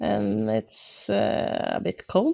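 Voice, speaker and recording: A woman speaks with a Norwegian accent. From Norway. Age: 40s. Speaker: gaming YouTuber. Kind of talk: gameplay commentary. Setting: home, on the sofa. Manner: hesitant, many filler words.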